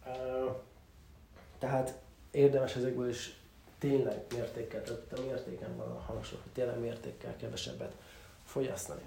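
A man speaks with long, frequent pauses and big swings in loudness. Audible room echo surrounds his voice. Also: moderate pace. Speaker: podcast host. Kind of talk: solo monologue on self-improvement. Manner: hesitant with many fillers.

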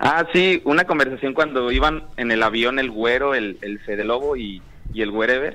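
A medium-pitched man talks at a moderate pace in an ordinary speaking voice. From Mexico, Tequila, Jalisco. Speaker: caller. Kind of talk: casual chat.

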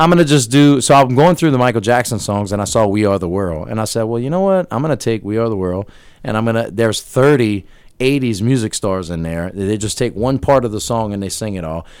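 Lively in intonation, a man speaks at a fairly quick pace and a medium pitch. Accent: American. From US South, Louisiana (Terrebonne Parish bayou). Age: 40s. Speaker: social media entertainer and DJ. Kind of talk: casual interview. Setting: radio studio.

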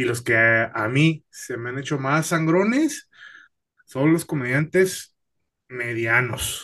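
A man's medium-pitched voice, bright and sharp in tone, with lively intonation against a quiet background. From Mexicali, northern Mexico. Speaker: stand-up comedian. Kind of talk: casual interview chat.

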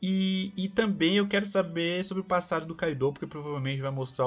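Intonation is lively as a man talks at a fairly quick pace. A somewhat breathy quality colors his voice. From São Paulo, Brazil. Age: 20s. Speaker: podcast co-host, engineering student. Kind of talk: casual chat.

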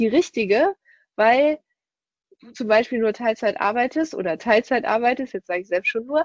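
Speaking high in pitch, a woman lets it vary in an ordinary way. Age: 30s. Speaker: podcast host and work coach. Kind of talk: recorded webinar presentation.

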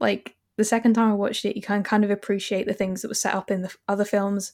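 At a fairly quick pace, a woman talks at medium pitch in an unremarkable speaking voice. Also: very clean recording, silent background. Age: 20s. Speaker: podcaster. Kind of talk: casual chat.

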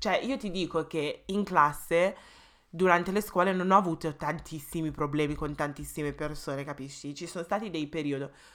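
Pitch varies in an ordinary way for this woman. Her voice sits fairly low. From England. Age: 20s. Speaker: podcast co-host. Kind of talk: casual chat. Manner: fast, talkative.

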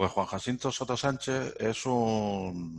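A man at a very slow pace with ordinary pitch variation, on a very clean recording with a silent background. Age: 50s. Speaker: entrepreneur. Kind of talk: interview.

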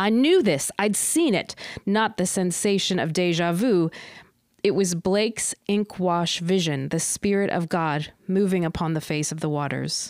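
At a fairly slow pace, a woman with a fairly low pitch and ordinary pitch variation speaks in a plain, everyday voice. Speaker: podcast host. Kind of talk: poem reading aloud, then casual chat. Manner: measured, deliberate, expressive poem reading.

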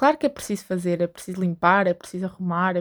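A woman with a European Portuguese accent is captured in a very clean recording with a silent background. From Portugal. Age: 20s. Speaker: podcaster. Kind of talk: solo monologue.

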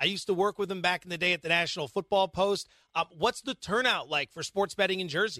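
A man's raised, projected voice with an American accent, high in pitch with ordinary pitch variation, bright and sharp in tone, at a very fast pace, in a dry, close sound with no echo and a very clean recording against a silent background. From Pennsylvania (Allentown). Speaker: sports betting podcast host.

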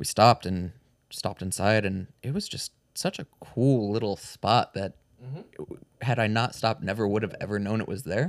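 In a very clean recording with a silent background and a dry, close sound with no echo, a man with an unremarkable speaking voice talks at a moderate pace. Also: fairly low pitch for a man, ordinary pitch variation. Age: 30s. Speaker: podcast co-host. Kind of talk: casual chat.

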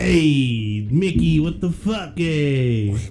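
A man's put-on character voice, medium-pitched, with clear music playing behind it. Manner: irritable.

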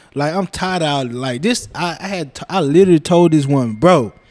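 With lively intonation, a man talks at a moderate pace in a dry, close recording with no echo. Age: 20s. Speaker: barber. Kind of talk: casual chat.

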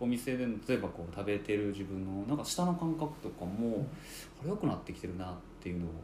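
Very wide pitch swings mark a man's fairly low voice, delivered at a very fast pace. Room echo is audible, along with noticeable background noise. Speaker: curry restaurant owner. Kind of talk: casual chat.

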